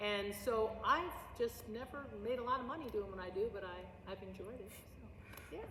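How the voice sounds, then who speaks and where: Amid audible room echo and noticeable background noise, a woman with an American accent speaks at a moderate pace, with big swings in loudness. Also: fairly high pitch for a woman, ordinary pitch variation. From US Midwest, St. Louis Missouri. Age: 60s. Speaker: drama teacher and actress. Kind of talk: oral history interview. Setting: school auditorium. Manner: animated.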